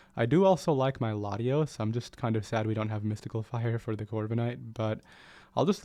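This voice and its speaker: Man's medium-pitched voice, dark and mellow, fairly quick and fairly even in intonation, against a quiet background. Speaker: gaming YouTuber. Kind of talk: gameplay commentary.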